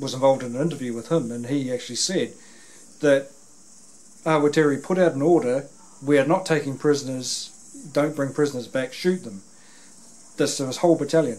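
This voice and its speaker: The man's pitch rises and falls with ordinary variation. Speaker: interviewer. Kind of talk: interview conversation, retelling a story. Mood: earnest, conversational. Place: home room.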